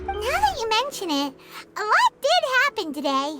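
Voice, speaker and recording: A woman's squeaky, put-on character voice at an extremely high pitch, with very wide pitch swings and a moderate pace, over loud music in the background. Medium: video game. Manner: soft-spoken, calm.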